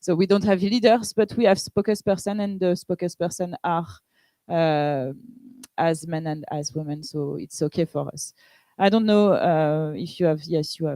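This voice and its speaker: A woman speaks with a French accent at a fairly low pitch and a moderate pace, with ordinary pitch variation. Her dark, mellow tone is captured dry and close with no echo. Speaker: pirate party politician. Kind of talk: panel discussion.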